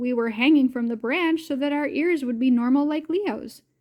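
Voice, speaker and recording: This woman uses a put-on character voice with a high pitch. She speaks at a moderate pace. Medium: read story. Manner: bright.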